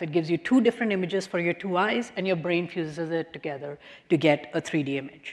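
A woman speaks in an ordinary speaking voice at a fairly low pitch and a fairly quick pace. Her pitch variation is ordinary, and the background is quiet. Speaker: professor giving public lecture. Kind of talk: lecture. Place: hall. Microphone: podium.

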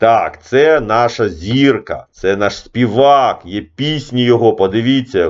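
At a medium pitch, a man with an unremarkable speaking voice talks with ordinary pitch variation. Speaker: chess coach. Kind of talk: casual video commentary. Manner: informal, digressive.

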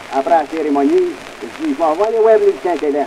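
A man with a Quebec accent speaks at a fairly quick pace. Light background noise can be heard. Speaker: comedian, folklorist. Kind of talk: comic monologue recording. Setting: early acoustic recording. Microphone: old recording.

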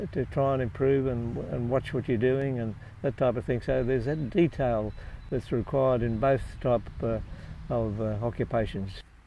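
In an Australian accent, a man speaks at a moderate pace with a dark, mellow tone and fairly even intonation. The sound is dry with no echo, though light background noise is present. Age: 80s+. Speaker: retired lawyer and marathon runner. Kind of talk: interview answer. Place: open country. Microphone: lapel.

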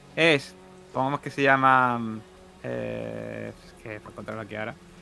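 Medium in pitch with ordinary variation, a man's voice has a bright, sharp tone and vocal fry.

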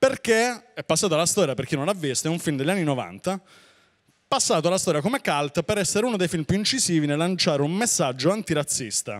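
Against a quiet background, a man with a high voice speaks with lively intonation. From Puglia, southern Italy. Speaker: stand-up comedian. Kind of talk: stand-up comedy, live on stage with a fast, punchy set. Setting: stage with audience. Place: stage. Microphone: handheld.

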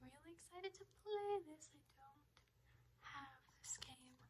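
A woman talks at a very slow pace with noticeable background noise. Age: 20s. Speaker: ASMR creator. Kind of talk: ASMR birthday haul talk to camera. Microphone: phone near.

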